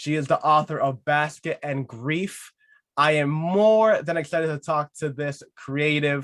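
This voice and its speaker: A man with a normal speaking voice talks at a fairly slow pace and fairly high pitch. The recording is very clean, with a silent background. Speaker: podcast host. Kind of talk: podcast host intro. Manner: upbeat.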